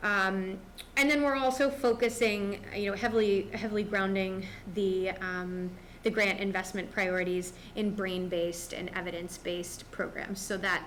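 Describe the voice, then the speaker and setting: A woman speaks at a medium pitch and a moderate pace, with ordinary pitch variation. Audible room echo surrounds her voice. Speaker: school district administrator. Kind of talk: board meeting presentation. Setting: school board meeting.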